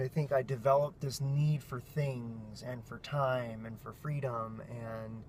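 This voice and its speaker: A somewhat breathy male voice at a fairly slow pace, with ordinary pitch variation. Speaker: family vlogger. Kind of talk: vlog monologue. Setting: in a car. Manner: animated.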